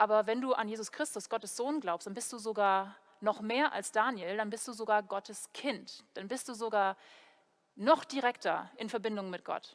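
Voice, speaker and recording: With an English accent, a woman talks at a moderate pace in a fairly high voice, her loudness swinging widely and her pitch varying in an ordinary way, on a very clean recording with a silent background. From Germany, Heidelberg. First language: English (speaking German). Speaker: preacher, theology student. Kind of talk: sermon. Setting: church video recording.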